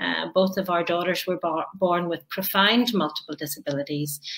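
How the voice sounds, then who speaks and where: A bright, sharp voice with a Northern Irish accent and ordinary pitch variation. The recording is very clean, with a silent background. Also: woman. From Northern Ireland, Belfast. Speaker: author and conference speaker. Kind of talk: interview.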